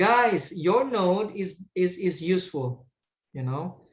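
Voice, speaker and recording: The man's voice sits at a high pitch. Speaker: IELTS speaking coach. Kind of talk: online tutorial. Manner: hesitant with many repetitions.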